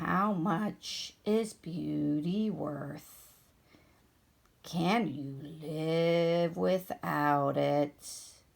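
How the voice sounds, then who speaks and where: A woman puts on a character voice with a very deep, low pitch. She goes at a very slow pace with ordinary pitch variation. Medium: read story. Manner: lazy, slow.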